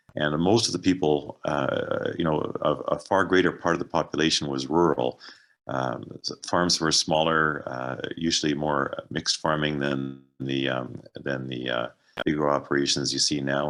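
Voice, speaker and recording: With a western Canadian accent, a man speaks at a moderate pace in a very deep, low voice with vocal fry and fairly even intonation. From Canada, Alberta (Calgary). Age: 60s. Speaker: author and ecologist. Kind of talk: book talk. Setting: video call. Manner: halting, many fillers.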